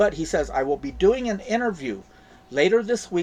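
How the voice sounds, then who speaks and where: With music playing behind him, a man talks fairly slowly, his intonation lively. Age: 60s. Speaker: crypto YouTuber. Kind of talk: casual video commentary.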